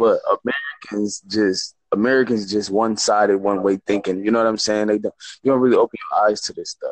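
Recorded dry and close with no echo, the speech moves at a fairly quick pace. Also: man. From Michigan, US. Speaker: sports talk show host. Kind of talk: casual sports commentary. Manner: animated, repetitive.

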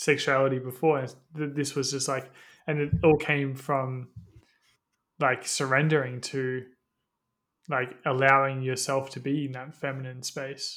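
At a fairly slow pace, a man speaks in a monotone, flat manner at a medium pitch, with long, frequent pauses. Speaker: podcast co-host. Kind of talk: casual chat. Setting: studio. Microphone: clean studio sound.

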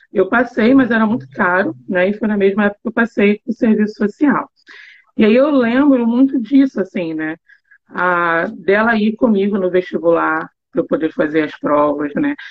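Lively intonation marks an ordinary speaking voice. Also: woman, fairly high pitch for a woman, moderate pace. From Rio de Janeiro. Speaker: university professor. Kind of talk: casual chat.

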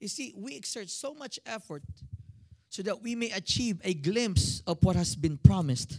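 A man's high voice at a moderate pace, with very wide pitch swings and big swings in loudness. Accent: Filipino. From Philippines. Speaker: pastor. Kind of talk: sermon. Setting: church with congregation. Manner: animated.

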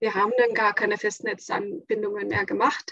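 A woman speaks in an Estonian accent. The sound is dry and close, with no echo. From Estonia, near Latvian border. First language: Estonian (speaking German). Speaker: school head and designer. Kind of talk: casual chat.

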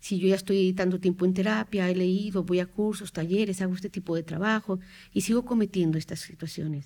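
A woman of medium pitch speaks fairly quickly in a dark, mellow tone. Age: 50s. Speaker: psychotherapist. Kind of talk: interview, explaining.

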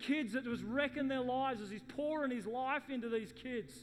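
Amid noticeable background noise and audible room echo, a man with an Australian accent speaks at a moderate pace, his pitch extremely high and his intonation fairly even. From Sydney western suburbs, Australia. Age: middle-aged. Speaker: pastor. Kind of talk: sermon.

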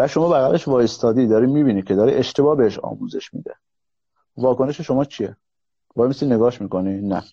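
Speaking very fast, a man uses a medium pitch with ordinary variation. His tone is dark and mellow. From Iran, Kurdish (Mahabad). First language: Kurdish (speaking Persian). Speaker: serial entrepreneur. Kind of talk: live stream interview. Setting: live stream call.

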